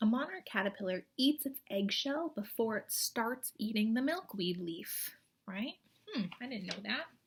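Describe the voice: At a moderate pace, a woman talks in a fairly high voice with a slightly husky edge and lively intonation.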